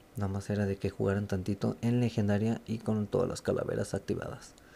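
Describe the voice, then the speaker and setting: A man speaks softly at a fairly quick pace, his fairly low voice held in a flat monotone. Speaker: gaming youtuber. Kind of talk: tutorial. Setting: at home at night. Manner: soft-spoken; hesitant, many fillers.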